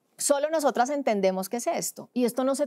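A woman talks at a fairly quick pace with ordinary pitch variation. The background is quiet. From Colombia, Cúcuta (border region); Colombia. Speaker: sports journalist; sports journalist guest. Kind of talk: podcast interview. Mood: engaged, passionate. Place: studio. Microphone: studio mic.

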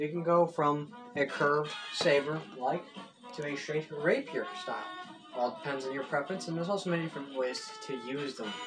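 A man talks with a fairly high pitch. Clear music plays in the background. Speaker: mock infomercial host. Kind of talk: joke infomercial-style demonstration talk to camera. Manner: casual, halting. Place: home room. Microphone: camera far.

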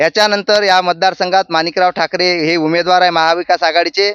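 A high-pitched man's voice, bright and sharp, with fairly even intonation, a dry, close sound without echo, and a quiet background. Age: 30s. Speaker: local politician, youth party leader. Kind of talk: political interview.

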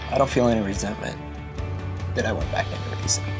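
Clear music plays in the background. A man speaks with a fairly low pitch. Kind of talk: interview answer. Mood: emotional, reflective about loss. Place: studio.

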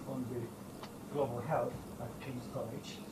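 A man delivers his words at a moderate pace while loud background noise fills the recording. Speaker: academic centre director. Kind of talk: introductory speech. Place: hall.

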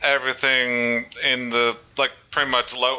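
A man speaking at a very slow pace. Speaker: YouTuber. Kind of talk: casual tutorial talk to camera. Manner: casual, hesitant.

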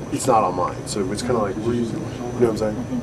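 Noticeable background noise sits under a man talking at a fairly quick pace. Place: tunnel cave. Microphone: camera far.

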